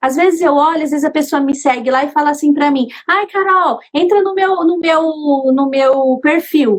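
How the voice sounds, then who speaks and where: A woman with a high pitch speaks at a moderate pace, keeping very even loudness and ordinary pitch variation. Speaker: artisan, craft business owner. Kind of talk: casual interview chat.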